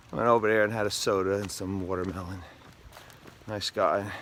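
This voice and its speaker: Against noticeable background noise, a man with a fairly low pitch talks at a moderate pace in a monotone, flat intonation. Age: 60s. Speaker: hiker vlogger. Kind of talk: vlog narration. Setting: outdoors. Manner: casual, halting.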